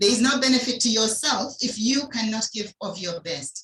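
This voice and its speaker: A woman's voice has a fairly high pitch and a bright, sharp tone. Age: 60s. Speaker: doctor and health product presenter. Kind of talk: health talk on a video call.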